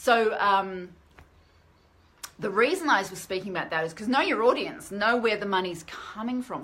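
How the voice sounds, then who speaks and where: A woman with an Australian accent, fairly high in pitch, with an animated tone, lively intonation, big swings in loudness, a moderate pace and noticeable background noise. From Australia, grew up in the bush. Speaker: author and self-publishing vlogger. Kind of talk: live stream chat. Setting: live stream.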